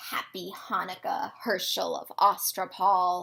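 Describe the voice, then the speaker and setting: A woman's raspy, put-on character voice at a medium pitch and a fairly slow pace. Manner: menacing.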